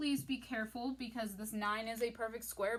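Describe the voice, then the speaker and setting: This woman has a fairly high pitch and an ordinary speaking voice. She talks at a moderate pace with ordinary pitch variation. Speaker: math teacher. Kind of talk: tutorial. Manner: casual.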